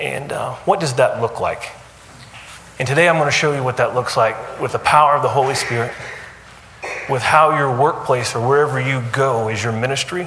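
Fairly quick speech from a man at medium pitch, ordinary pitch variation, audible room echo and noticeable background noise. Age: 40s. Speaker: guest speaker, anesthesia businessman. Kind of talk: faith-based business talk to a group.

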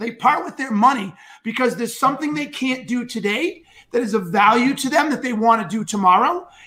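An extremely high-pitched man's raised, projected voice, bright and sharp in tone and animated, at a fairly quick pace with ordinary pitch variation. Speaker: sales show host. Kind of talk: live stream interview. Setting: live stream.

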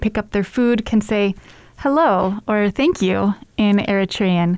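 Ordinary pitch movement in a plain, everyday voice. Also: woman. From United States, partly raised in Germany and Syria. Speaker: food program manager. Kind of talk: casual interview.

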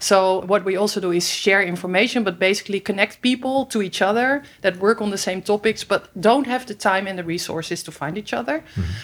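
A fairly quick delivery in a Dutch accent with hardly any pauses. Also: woman, medium pitch for a woman, ordinary pitch variation. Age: 50s. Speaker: environmental and human rights organization director. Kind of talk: interview. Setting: studio.

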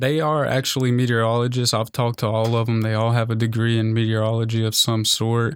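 In an American accent, a man speaks at a moderate pace and medium pitch in an unremarkable speaking voice. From US South, western North Carolina. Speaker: meteorology student. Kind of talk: casual interview.

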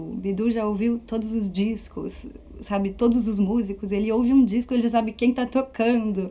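The voice is somewhat breathy, with a dark, mellow tone and a slight French accent. It moves at a moderate pace with ordinary pitch variation. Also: woman. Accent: slight foreign accent from years in France. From France (Paris region). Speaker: flautist and music teacher. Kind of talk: interview.

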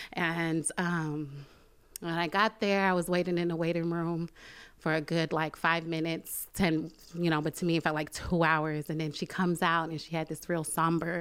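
A woman with an American accent speaks in a fairly low, flat monotone at a moderate pace. The recording is very clean, with a silent background. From Brooklyn, New York. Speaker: church member and mother. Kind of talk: testimony.

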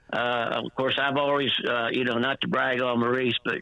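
Noticeable background noise accompanies a man's voice. He speaks at a moderate pace and medium pitch, with monotone, flat intonation. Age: 60s. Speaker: former high school basketball and softball coach. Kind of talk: radio interview. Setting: phone call. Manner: halting, many fillers.

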